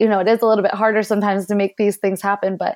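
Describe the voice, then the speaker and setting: With an American accent, a woman speaks in an ordinary speaking voice at medium pitch, her intonation fairly even. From US, Philadelphia area. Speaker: conservationist and free diver. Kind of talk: interview.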